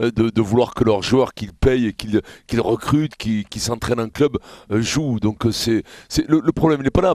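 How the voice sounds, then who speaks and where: A man speaks at a medium pitch and a moderate pace, with ordinary pitch variation. It is an ordinary speaking voice, recorded with a dry, close sound and no echo. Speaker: radio show host. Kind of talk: radio talk show debate.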